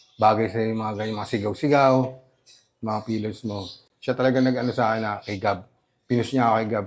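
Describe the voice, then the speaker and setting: This man talks at a fairly quick pace. His pitch is medium and his intonation fairly even. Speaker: rapper. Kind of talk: interview. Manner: halting.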